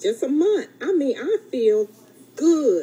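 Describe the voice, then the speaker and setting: Over noticeable background noise, a woman with an Alabama accent speaks very slowly, her pitch swinging very widely. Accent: Southern US (Alabama). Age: 60s. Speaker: fitness program client. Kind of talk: testimony. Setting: radio studio.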